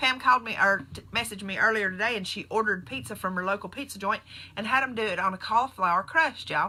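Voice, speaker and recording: A woman speaks very fast in a Southern US accent, her pitch fairly high and her tone bright and sharp. The recording is very clean, with a silent background. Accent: very country Southern US. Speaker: nurse and keto diet vlogger. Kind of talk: casual live stream talk. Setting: Facebook live video. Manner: animated.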